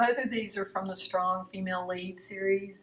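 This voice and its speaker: In an Alabama accent, a woman speaks at a medium pitch with a relaxed tone and monotone, flat intonation. Noticeable background noise runs underneath. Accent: Southern US (Alabama). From US South, rural Alabama, Appalachian foothills. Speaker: painter. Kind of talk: casual talk about her artwork. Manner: relaxed, with many fillers (uh, um).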